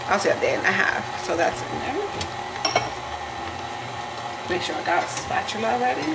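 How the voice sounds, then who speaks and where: A woman talks at a moderate pace. Loud background noise is heard behind her. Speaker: home cook vlogger. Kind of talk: casual vlog chat. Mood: relaxed, chatty. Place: kitchen. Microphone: camera far.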